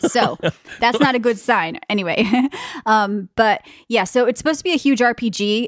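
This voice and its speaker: A woman speaks in an animated tone with an American accent, her pitch fairly high. The recording is very clean with a silent background, and the sound is dry and close with no echo. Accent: East Coast US accent, stronger when tired. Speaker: podcast co-host. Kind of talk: casual chat.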